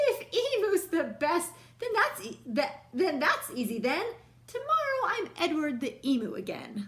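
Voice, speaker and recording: A woman performs a put-on character voice at an extremely high pitch. Her pitch swings very widely. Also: moderate pace. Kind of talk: bedtime story. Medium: read story. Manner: bright, playful.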